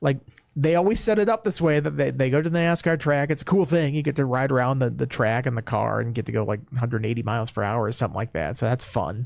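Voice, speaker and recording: Very fast male speech with a Minnesota accent, medium in pitch, with lively intonation and hardly any pauses. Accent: Minnesota accent, shows on long O. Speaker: sports podcast host. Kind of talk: casual chat.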